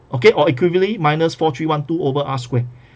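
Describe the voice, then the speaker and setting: A man speaks at a very fast pace, with a fairly high pitch. His voice is somewhat breathy, with ordinary pitch variation. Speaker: math tutor. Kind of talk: recorded lecture. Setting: recorded video lesson.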